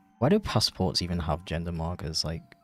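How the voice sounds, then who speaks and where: A man with an English accent at a moderate pace, music in the background. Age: 20s. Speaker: animator and streamer. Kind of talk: casual livestream chat.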